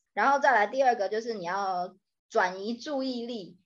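Against a quiet background, a woman with an unremarkable speaking voice talks at medium pitch and a moderate pace, her intonation lively. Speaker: podcast co-host, Chinese tutor. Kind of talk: casual chat.

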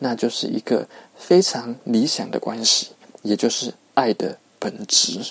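The sound is dry and close with no echo. A man speaks at a fairly slow pace. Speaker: podcast host. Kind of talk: solo podcast monologue. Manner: many filler particles, conversational.

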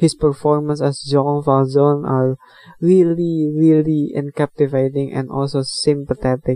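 A man with an Indonesian accent speaks at a fairly high pitch in a dark, mellow tone with monotone, flat intonation. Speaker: podcast host, movie and book reviewer. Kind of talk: casual solo podcast monologue reviewing a film. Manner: halting, hesitant with many fillers; apologetic about English, laughs often.

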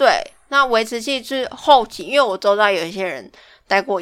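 On a very clean recording with a silent background, a woman speaks in a bright, sharp tone with lively intonation. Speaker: podcast co-host. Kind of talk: casual chat.

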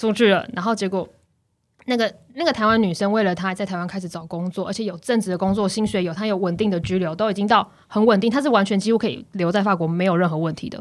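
A woman speaks very fast in an animated tone, at medium pitch with ordinary pitch variation. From Taiwan. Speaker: former student in France. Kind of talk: casual chat.

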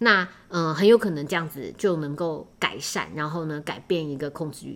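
With a Taiwanese accent, a woman speaks at a moderate pace. Her pitch is very deep and low, with ordinary variation. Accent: Taiwanese Mandarin. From Taiwan, Taipei. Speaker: podcast host. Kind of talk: casual solo podcast monologue. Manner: hesitant, many filler words.

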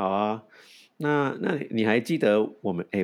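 A man with a fairly low voice swings his pitch very widely, recorded very cleanly against a silent background. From Hong Kong, raised in San Francisco. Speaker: podcast co-host. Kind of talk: casual chat. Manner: halting.

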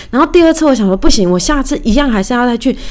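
A woman with a fairly high pitch and very wide pitch swings. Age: 30s. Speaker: podcast host. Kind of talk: casual solo monologue. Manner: chatty, conversational.

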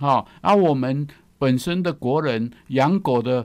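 A man talks very slowly, his pitch varying in an ordinary way, on a very clean recording where the background is silent. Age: 70s. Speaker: veterinarian and radio co-host. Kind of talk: radio talk show.

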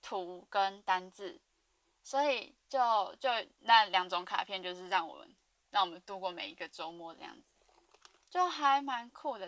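This woman has a medium pitch and ordinary pitch variation. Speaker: podcast host. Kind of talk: casual monologue. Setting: dorm room, alone. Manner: rambling fast talk.

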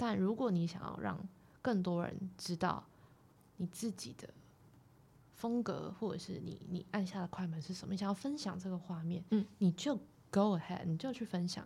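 Her voice is somewhat breathy and medium in pitch, with a dark, mellow tone. The woman leaves long, frequent pauses. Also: ordinary pitch variation, moderate pace. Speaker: photographer. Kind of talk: casual interview. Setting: studio.

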